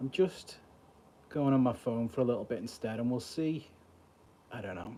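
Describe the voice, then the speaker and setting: With a Liverpool accent, a man talks fairly quickly at medium pitch in a dark, mellow tone with ordinary pitch variation. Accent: Scouse. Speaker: mentalist streamer. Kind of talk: casual live stream chat. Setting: mobile livestream. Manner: halting.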